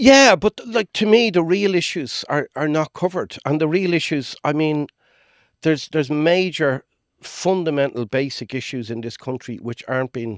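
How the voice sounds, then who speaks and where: A man with an Irish accent, fairly high in pitch with lively intonation at a moderate pace, in a dry, close sound with no echo on a very clean recording with a silent background. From Ireland. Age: 50s. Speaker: tour guide. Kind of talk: podcast conversation. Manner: straight-talking.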